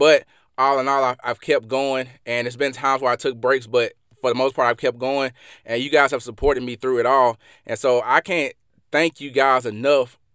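In a Mississippi accent, a man speaks at a medium pitch and moderate pace with monotone, flat intonation, in a dry, close sound with no echo on a very clean recording with a silent background. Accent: Southern US (Mississippi). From Mississippi, US South. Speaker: podcast host and former athlete. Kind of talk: solo motivational podcast monologue. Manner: motivational, conversational, with fillers.

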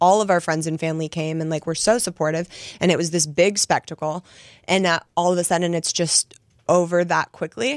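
A woman with a normal speaking voice talks at a fairly quick pace and a fairly low pitch, with fairly even intonation. The very clean recording has a silent background and a dry, close sound with no echo. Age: 30s. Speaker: author, guest. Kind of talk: personal testimony.

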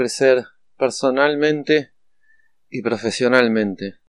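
The man speaks in a medium pitch, the sound dry and close with no echo. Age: 40s. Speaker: addiction counselor. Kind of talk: podcast monologue. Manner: halting, frequent fillers.

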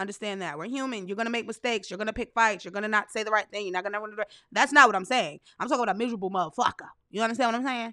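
A woman with a fairly high voice and a bright, sharp tone speaks at a very fast pace with ordinary pitch variation, dry and close with no echo, in a very clean recording with a silent background. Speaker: podcast host. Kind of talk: angry rant, scolding lecture at miserable people. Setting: solo podcast. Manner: blunt, loud, sassy, profane, emphatic; animated, direct address with rhetorical questions.

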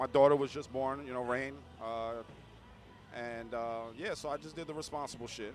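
Talking at a fairly quick pace, a man with a New York accent keeps his intonation fairly even. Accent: New York City (Bronx). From New York City, the Bronx. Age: 30s. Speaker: bike race organizer. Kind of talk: casual chat. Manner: casual, halting with fillers.

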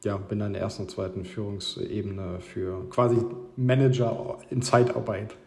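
Noticeable background noise and audible room echo surround a man talking at a fairly low pitch, with ordinary pitch variation and a moderate pace. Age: 30s. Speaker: marketing consultant. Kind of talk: interview.

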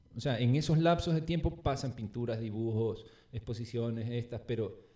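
This man's medium-pitched voice has a dark, mellow tone and moves at a moderate pace. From Ecuador, Guayaquil. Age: 40s. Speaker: urban artist. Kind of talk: casual chat. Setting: at his home.

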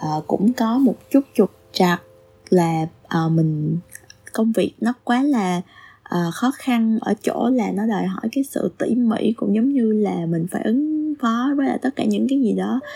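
Somewhat breathy and lively in intonation, the voice has a dry, close sound with no echo. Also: woman, fairly high pitch for a woman, fairly slow pace. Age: 30s. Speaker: podcast admin. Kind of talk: solo podcast monologue. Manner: halting.

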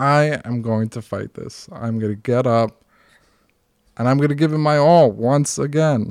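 In an American accent, a man speaks at a fairly slow pace and medium pitch with ordinary pitch variation and an ordinary speaking voice, on a very clean recording with a silent background. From US Northeast (Norwood area). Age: 30s. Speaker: heart transplant survivor and author. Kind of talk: casual chat. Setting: at home.

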